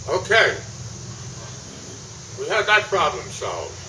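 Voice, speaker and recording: A man with an American accent talks at a fairly slow pace amid noticeable background noise. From New Jersey. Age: 80s+. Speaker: war veteran. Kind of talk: war story told to an audience. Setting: public event with microphone.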